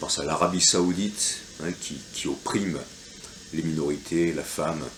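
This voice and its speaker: A man speaks fairly slowly in a very deep, low pitch with fairly even intonation. His loudness swings widely, and audible room echo surrounds him. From France. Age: 50s. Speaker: local election candidate. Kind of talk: reading aloud a campaign leaflet. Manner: hesitant, many fillers.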